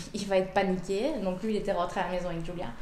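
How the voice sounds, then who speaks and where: A woman talking very fast amid audible room echo and noticeable background noise. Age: 30s. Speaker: mother of a premature baby. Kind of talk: personal testimony. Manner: hesitant, many fillers.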